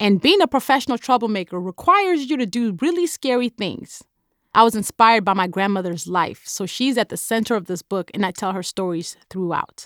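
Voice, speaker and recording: The voice comes at a fairly quick pace with lively intonation, on a very clean recording with a silent background and a dry, close sound with no echo. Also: woman, fairly high pitch for a woman. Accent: Nigerian. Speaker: author. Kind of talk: interview monologue about audiobook.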